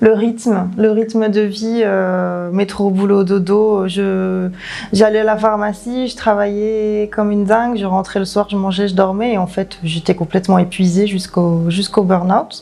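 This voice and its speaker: A woman with a medium pitch speaks at a fairly slow pace in a monotone, flat intonation. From southern France, Ardèche. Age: 30s. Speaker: naturopathy consultant, former pharmacy worker. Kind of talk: testimony. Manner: hesitant, many fillers.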